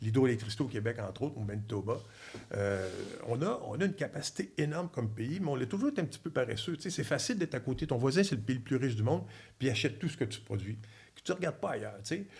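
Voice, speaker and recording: A man with a Quebec accent talks at a very fast pace, his medium-pitched voice somewhat breathy and his intonation lively. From Quebec, Trois-Rivières. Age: 60s. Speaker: former diplomat and energy expert. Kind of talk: podcast interview. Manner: animated.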